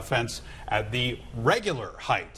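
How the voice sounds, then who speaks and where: Noticeable background noise fills the clip. A man talks at a medium pitch. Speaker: TV morning show host. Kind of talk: TV news anchor talk.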